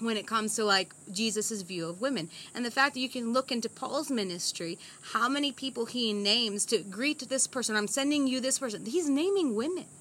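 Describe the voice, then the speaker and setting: Lively intonation and a fairly high pitch mark a woman with an unremarkable speaking voice. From United States. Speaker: missionary. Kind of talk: interview.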